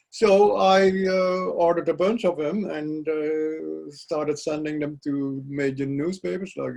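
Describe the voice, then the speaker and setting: The speaker has a Dutch accent and ordinary pitch variation. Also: man. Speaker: poet. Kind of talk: interview. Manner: halting.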